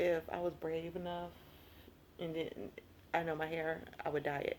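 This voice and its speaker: Over noticeable background noise, a woman speaks in an animated tone. Her pitch is fairly low, and she has an American accent. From US South. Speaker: lifestyle vlogger. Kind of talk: casual vlog monologue. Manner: fast when excited; chatty, animated.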